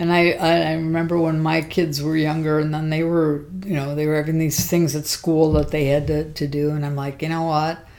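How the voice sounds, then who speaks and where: A woman with a very deep, low pitch and an American accent, monotone and flat at a moderate pace, with hardly any pauses and audible room echo. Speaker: grandmother interviewed about her life. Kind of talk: casual chat.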